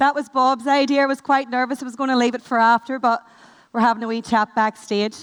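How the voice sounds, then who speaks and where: Woman's high voice in a Northern Irish accent, fairly quick and fairly even in intonation, with a dry, close sound and no echo. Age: 20s. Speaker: network marketing manager. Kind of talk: motivational talk. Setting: stage with audience. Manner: fast.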